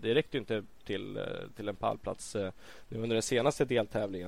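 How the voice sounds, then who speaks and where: A man speaks in a plain, everyday voice, fairly low in pitch, with ordinary pitch variation. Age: 20s. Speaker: MotoGP commentator and former racer. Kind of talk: casual chat.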